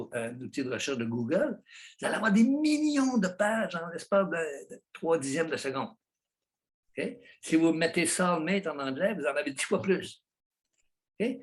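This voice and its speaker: Speaking at a moderate pace in a Quebec accent, a man uses a high pitch and lively intonation. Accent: Québécois. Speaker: psychologist, author. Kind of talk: interview answer. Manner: passionate.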